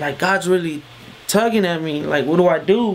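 Over light background noise, a man speaks with an American accent at a high pitch. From Oak Cliff, Dallas, Texas; Texas. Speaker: gospel hip hop artist; interviewee. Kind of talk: testimony. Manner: casual, conversational. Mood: earnest, reflective, preaching at end. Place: studio.

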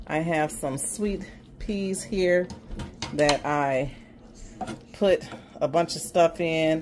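Over noticeable background noise, a woman with an American accent speaks very slowly, leaving long, frequent pauses. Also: fairly low pitch for a woman, ordinary pitch variation. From South Los Angeles, California; California. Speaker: cooking vlogger. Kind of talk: cooking tutorial. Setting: home kitchen. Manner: casual, chatty with fillers. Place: kitchen. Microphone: phone near.

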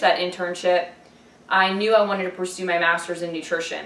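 Audible room echo around a woman with fairly even intonation. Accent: American. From Ohio. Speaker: dietitian. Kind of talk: self-introduction video. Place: home room.

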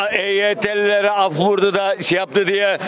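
Speaking at a fairly slow pace, a man with a high voice is heard in a dry recording with no echo and noticeable background noise. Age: 60s. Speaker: architect and shopkeeper. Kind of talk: street interview. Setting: outdoors. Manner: animated. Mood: aggrieved, emphatic. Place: street. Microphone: handheld.

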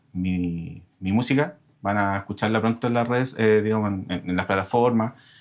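A man speaks at a moderate pace with fairly low pitch. His intonation stays fairly even in an ordinary speaking voice. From Chile. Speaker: guitarist and composer; guest. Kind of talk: casual chat. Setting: studio. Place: studio.

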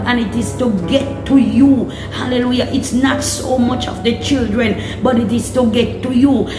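Clear music plays in the background as a woman talks at a fairly slow pace. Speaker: prayer minister. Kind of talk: sermon. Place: home room. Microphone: phone near.

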